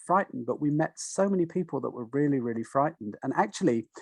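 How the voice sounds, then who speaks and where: With lively intonation, a man talks at a very fast pace. The background is quiet. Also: dry, close sound with no echo. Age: 60s. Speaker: nature connection guide and wellbeing author. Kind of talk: interview. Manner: halting, many false starts.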